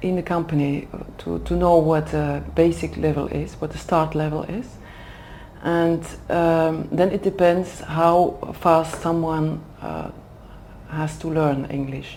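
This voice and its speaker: Very slow and monotone, a woman with a Flemish Belgian accent speaks at fairly low pitch, with audible room echo and noticeable background noise. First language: Dutch. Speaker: HR manager for executive development. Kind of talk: interview. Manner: hesitant, many fillers.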